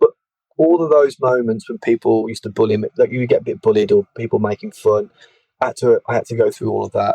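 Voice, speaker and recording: Talking at a very fast pace, a man speaks with a Birmingham accent. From England, Birmingham. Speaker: evidential medium and spiritualist minister. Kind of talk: interview, personal life story. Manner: halting, frequent repetitions.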